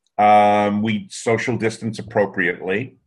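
Speaking very slowly, a man uses a fairly low pitch. The background is quiet. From US Northeast. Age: 70s. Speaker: recruiting industry consultant. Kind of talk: interview. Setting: video call. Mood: relaxed, friendly. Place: home room. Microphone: webcam.

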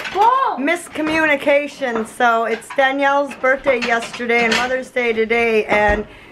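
Over noticeable background noise, a woman speaks with a high pitch and ordinary pitch variation. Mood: cheerful, festive. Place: home room. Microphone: phone near.

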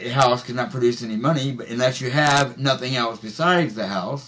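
A man speaks with an American accent at a moderate pace. His pitch varies in an ordinary way. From US Midwest, Missouri. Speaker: Bible study teacher. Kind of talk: Bible study discussion. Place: home room. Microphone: webcam.

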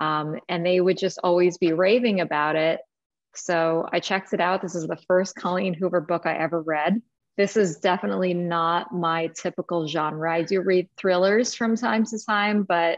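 A woman speaks at a moderate pace in a fairly low voice. The sound is dry, with no echo. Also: fairly even intonation, quiet background. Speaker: book club host. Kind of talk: casual discussion intro. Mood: cheerful, laughing often. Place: home room. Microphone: video call.

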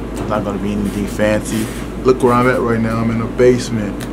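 A man speaks over loud background noise. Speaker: vlogger. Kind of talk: casual vlog chat. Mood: reflective, proud, heartfelt. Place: home room. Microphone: phone near.

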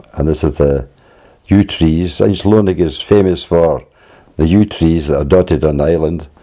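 A man's very deep, low voice with a Scottish accent and ordinary pitch variation. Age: 80s+. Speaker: sea kayaker, filmmaker. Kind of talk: home movie narration, reminiscing.

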